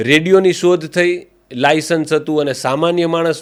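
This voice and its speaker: A man speaks at a fairly high pitch. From Saurashtra, Gujarat. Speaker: radio jockey and cricket commentator. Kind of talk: interview answer.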